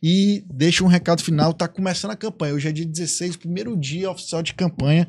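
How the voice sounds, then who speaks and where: Over a quiet background, a man with a high pitch talks at a fairly quick pace, with fairly even intonation and hardly any pauses. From Ceará, Brazil. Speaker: podcast host. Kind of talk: casual interview. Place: studio. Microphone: studio mic.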